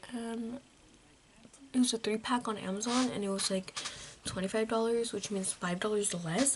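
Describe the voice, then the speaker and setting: With noticeable noise in the background, a whispered voice moves at a moderate pace. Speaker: beauty vlogger. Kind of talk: casual makeup tutorial vlog. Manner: whispering a little; rambling, casual.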